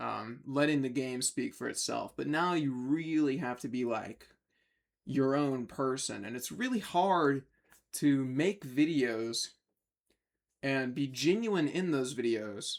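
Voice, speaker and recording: Speaking at a fairly slow pace, a man with a fairly high pitch uses ordinary pitch variation on a very clean recording with a silent background. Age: 20s. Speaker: gaming YouTuber. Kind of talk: casual vlog monologue. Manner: hesitant, many fillers.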